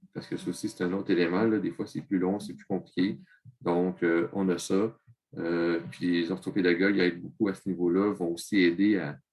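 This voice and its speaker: A man talks in a very deep, low voice. His pace is moderate and his intonation fairly even. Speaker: secondary school teacher. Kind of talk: interview.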